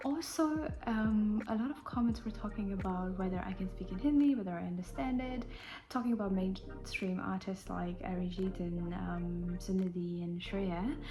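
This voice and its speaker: In a room with audible echo and noticeable background noise, a woman with a medium-pitched voice talks at a moderate pace with lively intonation and hardly any pauses. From Indian heritage. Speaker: music reaction youtuber. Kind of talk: casual reaction video talk.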